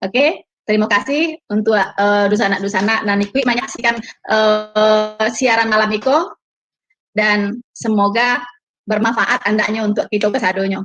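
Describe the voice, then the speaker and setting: A woman's fairly high voice with a Minangkabau accent, fairly slow pace, very even loudness and ordinary pitch variation. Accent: Minang. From West Sumatra, Payakumbuh (Minang). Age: 50s. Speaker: testimony guest, convert. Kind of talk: casual chat.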